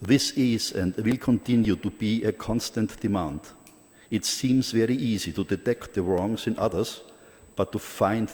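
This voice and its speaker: Fairly slow, fairly low-pitched speech from a man, with normal pitch movement. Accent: strong Austrian. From Austria. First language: German. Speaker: Buddhist organization president, conference speaker. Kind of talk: conference speech. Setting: conference hall. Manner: formal.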